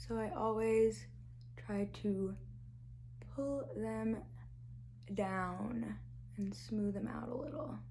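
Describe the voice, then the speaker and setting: The voice comes very slowly through audible room echo. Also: woman. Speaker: beauty YouTuber. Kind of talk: tutorial. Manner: casual, chatty.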